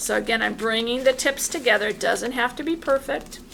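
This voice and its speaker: Noticeable background noise behind a woman's fairly slow delivery, her pitch variation ordinary. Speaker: art teacher. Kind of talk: tutorial.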